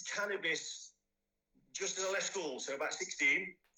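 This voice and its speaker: The speaker is a man with an East Midlands accent. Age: 40s. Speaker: person in addiction recovery. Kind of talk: interview testimony. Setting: podcast recording. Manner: halting, many fillers.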